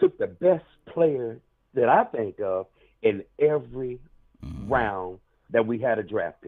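A man at a fairly slow pace with big swings in loudness. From South Carolina. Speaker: caller. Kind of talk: call-in chat.

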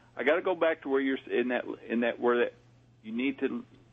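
A man with a Southern US accent speaks at a fairly quick pace in a fairly high pitch. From US South. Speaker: paranormal communications consultant. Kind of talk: call-in readings.

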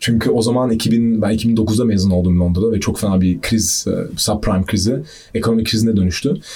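Talking at a fairly quick pace with very even loudness, a man uses a fairly low, somewhat breathy voice and fairly even intonation. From Austria (Vienna). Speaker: deep tech entrepreneur, energy economist. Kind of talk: casual interview.

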